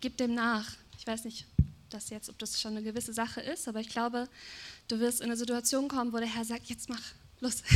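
A woman's fairly high voice, fairly quick yet broken by long, frequent pauses, in a monotone, flat delivery. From Germany. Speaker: preacher's wife, prophetic speaker. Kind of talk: prophetic words in church.

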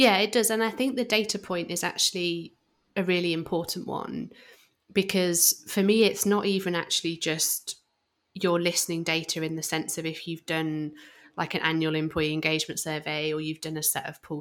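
A woman speaks with a British accent at a fairly low pitch, with ordinary pitch variation and a moderate pace. The recording is very clean, with a silent background. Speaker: podcast co-host. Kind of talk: casual podcast conversation.

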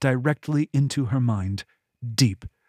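The background stays quiet. It is a natural reading voice.

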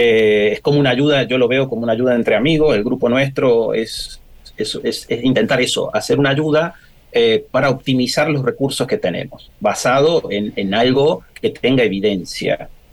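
A man with a plain, everyday voice talks at a medium pitch and a moderate pace, with ordinary pitch variation. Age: 40s. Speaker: pediatrician and marine aquarium hobbyist. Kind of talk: radio interview.

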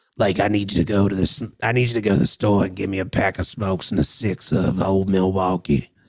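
A man's raspy, gravelly put-on character voice, fairly low in pitch, at a moderate pace.

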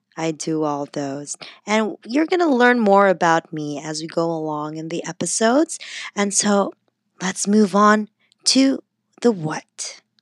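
Speaking at a fairly slow pace with a slight Filipino accent, a woman uses a medium pitch with very wide pitch swings, in a dry, close sound with no echo. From Philippines. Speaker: podcast host. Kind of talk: solo podcast intro. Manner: animated, cheerful.

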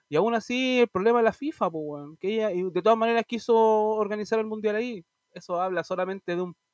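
Against a quiet background, a man with a Chilean accent talks at a fairly quick pace and high pitch, the sound dry and close with no echo. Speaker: podcast co-host. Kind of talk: casual chat.

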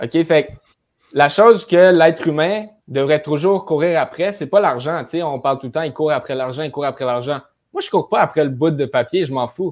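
With an energetic tone, a man talks at a moderate pace, fairly high in pitch, with ordinary pitch variation. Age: 20s. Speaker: young real estate investor. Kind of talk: casual interview chat.

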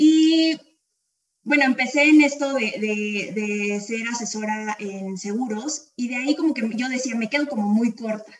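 Fairly slow in pace, a woman speaks with ordinary variation in pitch. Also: fairly high pitch for a woman. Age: 20s. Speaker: insurance advisor. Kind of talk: casual interview. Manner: halting, with frequent repetitions.

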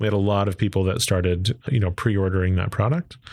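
On a very clean recording with a silent background, a man with an American accent speaks at a fairly quick pace and fairly low pitch, in an ordinary speaking voice. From Texas, Arlington. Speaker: engineer and entrepreneur. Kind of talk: interview.

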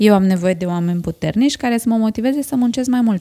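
A woman speaks quickly at a fairly high pitch, her tone dark and mellow. Her pitch swings very widely, and the sound is dry and close with no echo. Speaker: podcast host. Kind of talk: interview.

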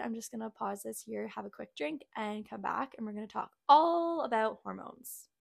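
Very clean recording of a woman, with a silent background. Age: 20s. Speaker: health coach and podcast host. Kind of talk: solo podcast monologue. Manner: casual, filler-heavy. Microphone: new microphone set.

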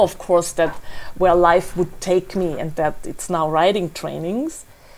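This woman has a fairly low pitch and speaks in a German accent. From Austria, Salzburg. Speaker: author and travel blogger. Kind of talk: interview.

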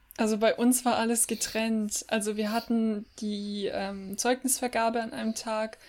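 A woman's fairly high, monotone, flat voice at a fairly slow pace on a very clean recording with a silent background. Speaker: podcast co-host. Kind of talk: casual chat.

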